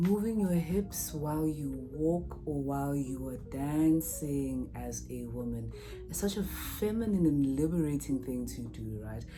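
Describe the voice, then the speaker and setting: A soft-spoken woman talks at a fairly slow pace with hardly any pauses, her loudness swinging widely, with music in the background and audible room echo. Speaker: lifestyle YouTuber. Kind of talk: vlog advice talk.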